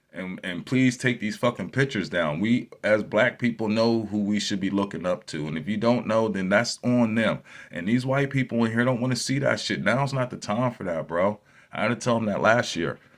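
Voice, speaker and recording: Speaking at a medium pitch, a man keeps a moderate pace. His pitch varies in an ordinary way. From New Jersey. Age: 40s. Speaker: YouTuber. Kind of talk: casual vlog monologue. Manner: animated, profane.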